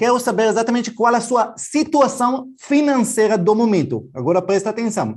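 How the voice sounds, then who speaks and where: A man with an Israeli accent speaks at a high pitch. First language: Hebrew (speaking Portuguese). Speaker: financial educator. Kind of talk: online class.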